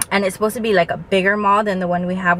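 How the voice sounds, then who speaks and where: Light noise sits in the background. A woman talks, and the sound is dry with no echo. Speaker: vlogger. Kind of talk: casual vlog chat. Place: car. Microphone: phone near.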